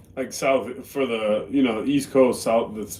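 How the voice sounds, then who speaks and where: An ordinary speaking voice from a man. He talks at a moderate pace with fairly even intonation. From Boston, US. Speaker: live streamer. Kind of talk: casual chat. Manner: casual, conversational.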